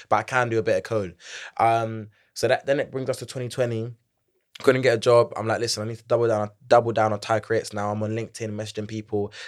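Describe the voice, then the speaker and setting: A man with a London accent talks at a very fast pace and medium pitch. The recording is very clean, with a silent background. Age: 20s. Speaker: Gen Z corporate advisor and entrepreneur. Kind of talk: casual interview chat. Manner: energetic, animated.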